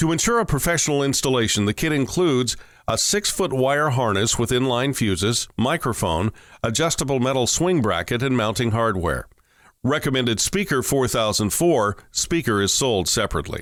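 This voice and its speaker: In an ordinary speaking voice at medium pitch, a man talks at a moderate pace with lively intonation and very even loudness. The recording is very clean, with a silent background. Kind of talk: corporate product narration. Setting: studio voiceover.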